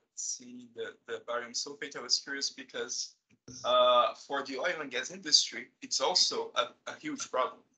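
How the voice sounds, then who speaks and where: A moderate pace in a Brazilian accent against a quiet background. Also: man. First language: Portuguese. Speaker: chemistry professor. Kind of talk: seminar moderation. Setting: video call. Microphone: video call.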